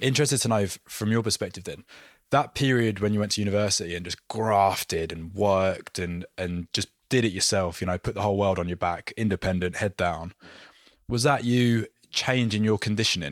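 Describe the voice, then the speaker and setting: Using an ordinary speaking voice, a man talks at a fairly quick pace. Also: fairly low pitch for a man, ordinary pitch variation. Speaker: podcast host and performance coach. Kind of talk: interview, ad read.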